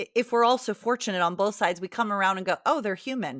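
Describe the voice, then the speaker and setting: This woman has a plain, everyday voice with a fairly high pitch. Her intonation is lively. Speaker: podcast host. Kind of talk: casual conversation.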